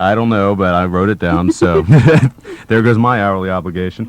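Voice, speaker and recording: The speaker has an unremarkable speaking voice with an American accent. The pace is moderate, with ordinary pitch variation. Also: man, fairly low pitch for a man. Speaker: radio host and voice actor. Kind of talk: college radio DJ banter. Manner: jokey, playful, rambling.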